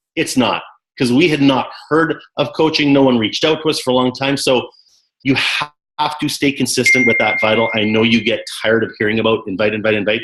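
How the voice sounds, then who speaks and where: A man with a Canadian accent and a plain, everyday voice speaks at medium pitch and a fairly quick pace, with ordinary pitch variation and very even loudness. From Canada. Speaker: network marketing coach. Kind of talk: team call interview. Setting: conference call.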